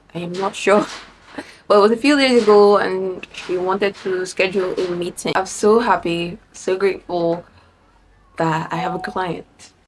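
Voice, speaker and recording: A woman of medium pitch speaks at a moderate pace against noticeable background noise. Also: ordinary pitch variation. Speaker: vlogger and freelancer. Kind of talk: casual vlog talk. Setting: at home. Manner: animated.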